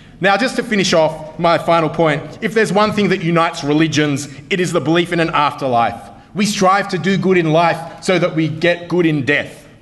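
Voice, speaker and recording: Speaking with an Australian accent, a man keeps his loudness very even at a high pitch. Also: ordinary pitch variation, moderate pace. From Melbourne, Australia. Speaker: comedy debater. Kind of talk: comedic debate speech. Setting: stage with audience. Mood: humorous, wry. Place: hall. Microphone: podium.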